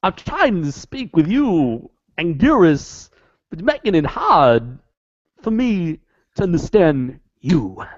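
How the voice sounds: In a put-on character voice, the raspy speaker holds a middle pitch and moves at a fairly slow pace with long, frequent pauses.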